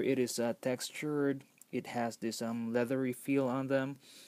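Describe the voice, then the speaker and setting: A man at medium pitch with a non-native accent. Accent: noticeable non-native English. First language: not English. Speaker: toy collector reviewer. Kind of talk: product review. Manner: halting, many fillers.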